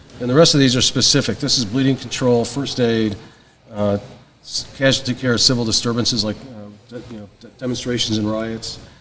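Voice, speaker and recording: Over noticeable background noise, the voice moves at a fairly quick pace with big swings in loudness. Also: man, medium pitch for a man, fairly even intonation. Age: 60s. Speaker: paramedic educator and retired fire chief. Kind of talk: casual interview chat. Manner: halting, many fillers.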